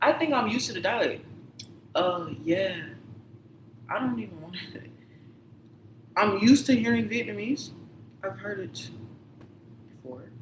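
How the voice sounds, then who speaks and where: Moderate pace with long, frequent pauses, an American accent, and noticeable background noise. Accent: others say she sounds southern. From Michigan, Detroit. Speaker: livestreamer. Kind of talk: casual monologue. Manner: rambling, self-interrupting.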